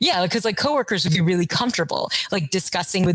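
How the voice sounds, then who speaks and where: With an American accent, a woman speaks in a fairly low pitch on a very clean recording with a silent background. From US South, Kentucky. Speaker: artist. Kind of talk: interview conversation. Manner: halting, many fillers.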